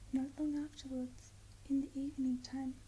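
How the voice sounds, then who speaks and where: The voice is whispering and soft-spoken. Its tone is gentle and soothing. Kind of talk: whispered ASMR bedtime story reading. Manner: whispered, softly spoken, gentle, soothing.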